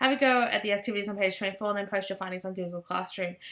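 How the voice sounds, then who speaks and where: Using an unremarkable speaking voice, a woman talks at a medium pitch, varying it in an ordinary way. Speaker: primary school teacher. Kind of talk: recorded lesson instructions for pupils.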